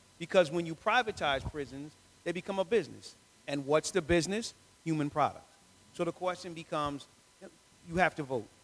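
At a fairly quick pace, a man talks in a fairly high pitch with ordinary pitch variation. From Philadelphia. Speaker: lawyer, judicial candidate; lawyer, candidate. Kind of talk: candidate forum Q&A. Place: church. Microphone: handheld.

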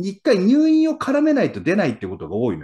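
An animated male voice against a quiet background. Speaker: real estate investor and former insurance salesman; former insurance salesman. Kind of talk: casual chat. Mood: relaxed, advising. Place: home room. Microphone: video call.

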